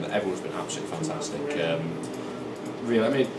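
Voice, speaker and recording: A man rattles along at a very fast pace, his pitch varying in an ordinary way, with noticeable background noise behind him. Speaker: esports shoutcaster. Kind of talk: casual interview answer.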